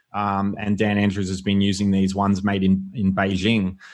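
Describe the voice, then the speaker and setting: A man speaks at a fairly low pitch with an Australian accent. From Australia, Melbourne (Yarra Valley). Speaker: author and former professional athlete. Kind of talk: casual interview.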